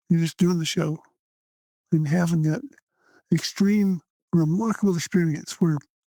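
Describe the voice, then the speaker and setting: In a Texan accent, a man with a high pitch and a dark, mellow tone talks at a moderate pace with ordinary pitch variation. The sound is dry and close, with no echo. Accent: Texan American. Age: 70s. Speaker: stage performer and writer. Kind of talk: interview conversation. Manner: animated.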